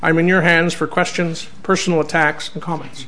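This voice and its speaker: A man with a Canadian accent, with noticeable background noise and audible room echo. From Canada. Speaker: senator and special envoy giving a public talk. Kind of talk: lecture.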